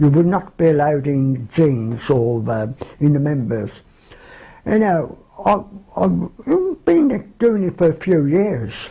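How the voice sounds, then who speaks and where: In a Birmingham accent, a man speaks at a very slow pace and a fairly high pitch, his voice somewhat breathy. His pitch swings very widely. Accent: Birmingham (Brummie). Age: 70s. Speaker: care home resident. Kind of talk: reminiscence interview.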